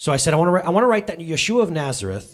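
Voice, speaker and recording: A man speaks with very wide swings in pitch. His tone is animated and somewhat breathy. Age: 30s. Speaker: pastor. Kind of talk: sermon. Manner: animated, conversational.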